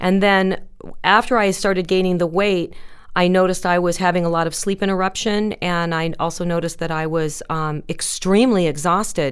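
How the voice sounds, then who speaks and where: With a normal speaking voice, a woman at medium pitch talks at a fairly quick pace, keeping her intonation fairly even. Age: 50s. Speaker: realtor. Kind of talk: interview. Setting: studio.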